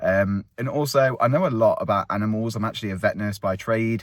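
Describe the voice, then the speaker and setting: A man with an English accent, talking at a very fast pace. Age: 30s. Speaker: vlogger. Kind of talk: casual chat. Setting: outdoors.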